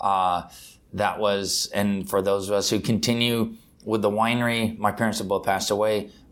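A man with an American accent, fairly low in pitch, talking fairly slowly in a flat monotone, in a very clean recording with a silent background. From Napa Valley, California. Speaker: winemaker. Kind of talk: casual interview. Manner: halting, many fillers.

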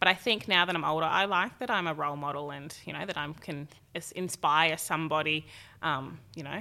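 Heard on a very clean recording with a silent background, a woman with an Australian accent speaks at a fairly quick pace in a very deep, low voice with a bright, sharp tone and ordinary pitch variation. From Australia, Gold Coast / Tweed Heads. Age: 20s. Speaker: fashion model. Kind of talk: casual chat. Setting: studio.

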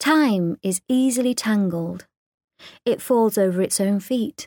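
Speaking at a very slow pace, a woman uses a dark, mellow tone at medium pitch. Her intonation is lively, and the sound is dry and close with no echo. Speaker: poetry reader. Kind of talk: poem reading. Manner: measured, lyrical, rhythmic.

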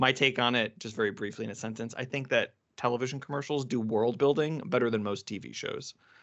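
A man at medium pitch, very fast, with hardly any pauses, ordinary pitch variation and big swings in loudness. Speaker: assistant professor of media studies. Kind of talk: casual academic conversation. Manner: fast, filler-heavy, hesitant.

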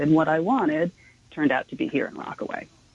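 A woman speaks with an American accent at a very deep, low pitch. The sound is dry and close, with no echo. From New York City, Manhattan. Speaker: journalist and author. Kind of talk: radio interview.

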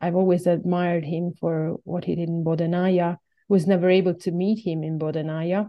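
A woman's fairly low voice in an Italian accent, at a moderate pace with monotone, flat intonation. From Italy. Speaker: albergue host. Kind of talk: interview. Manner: laughs often.

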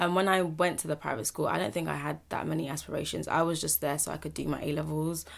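Vocal fry with fairly even intonation, on a very clean recording with a silent background. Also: woman. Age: 20s. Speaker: care-experienced university student. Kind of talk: interview answers. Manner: hesitant, many fillers.

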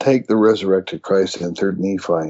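Speaking at a fairly quick pace, a man uses a very deep, low pitch. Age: 50s. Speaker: theologian and author. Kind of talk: casual interview discussion.

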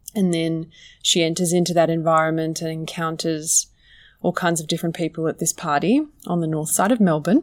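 Speaking with an Australian accent, a woman keeps a fairly quick pace. Her pitch is fairly low and her intonation fairly even. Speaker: writer and author. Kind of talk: interview.

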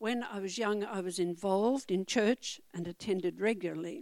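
A woman speaks at a medium pitch with ordinary pitch variation, her voice recorded dry and close with no echo. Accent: Australian. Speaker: church member being baptized. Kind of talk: testimony. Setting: church.

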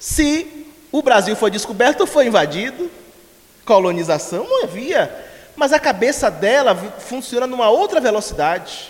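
A man talks at a fairly slow pace with an extremely high pitch and very wide pitch swings. Noticeable background noise is present. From Bahia, Brazil. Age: 40s. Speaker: spiritist lecturer. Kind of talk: lecture. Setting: spiritist center with live audience.

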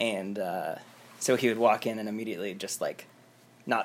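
A man speaks in a Midwestern US accent at a fairly low pitch. His pace is moderate and his pitch variation ordinary. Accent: US Midwest. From Iowa. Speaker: dry cleaner owner. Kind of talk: casual chat. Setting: old dry cleaners building.

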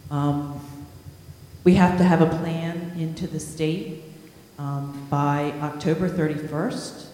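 The speech moves at a very slow pace with long, frequent pauses, set against noticeable background noise. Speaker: school district finance officer. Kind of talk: budget report. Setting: board meeting.

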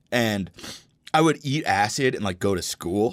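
An unremarkable speaking voice talks with an American accent and ordinary pitch variation. The recording is very clean, with a silent background. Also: man. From Colorado, US. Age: 20s. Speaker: electronic music producer. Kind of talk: casual chat.

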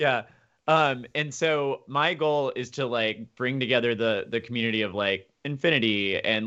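At a fairly slow pace, a man with an American accent speaks in a plain, everyday voice with ordinary pitch variation. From US South, Memphis. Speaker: tabletop gaming event organizer. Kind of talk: casual interview.

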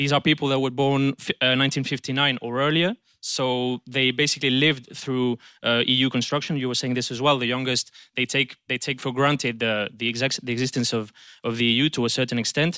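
A man with a Spanish accent talks at a fairly quick pace in a medium pitch, his bright, sharp tone delivered in a monotone, flat intonation, recorded very cleanly against a silent background with a dry, close sound and no echo. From Spain. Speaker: politician. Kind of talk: panel discussion. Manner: halting.

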